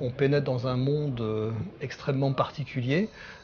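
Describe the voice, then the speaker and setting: A man at a medium pitch talks at a fairly slow pace over noticeable background noise. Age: 50s. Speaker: cave diver. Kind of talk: documentary interview. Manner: halting, many hesitations.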